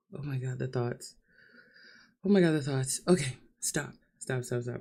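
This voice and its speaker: Her voice is very deep and low, somewhat breathy, with a dark, mellow tone, ordinary pitch variation and a moderate pace. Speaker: vlogger. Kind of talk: livestream monologue. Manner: emotional, halting.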